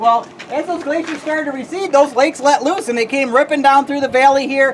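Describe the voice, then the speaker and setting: A woman talks very fast in a high pitch with ordinary pitch variation. Noticeable background noise is present. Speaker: tour guide. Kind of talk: guided tour talk. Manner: loud; animated.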